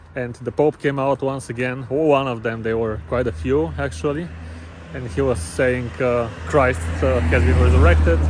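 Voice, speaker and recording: Over noticeable background noise, a man with a Bulgarian accent talks with very wide pitch swings. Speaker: travel vlogger. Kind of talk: casual vlog narration. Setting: outdoors, walking on street at night. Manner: halting, many fillers.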